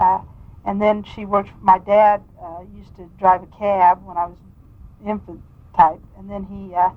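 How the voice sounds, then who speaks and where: A woman with a Midwestern US accent speaks at a medium pitch with monotone, flat intonation. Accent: US Midwest. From Kansas, Wichita. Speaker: state legislator. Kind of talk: oral history interview. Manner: halting.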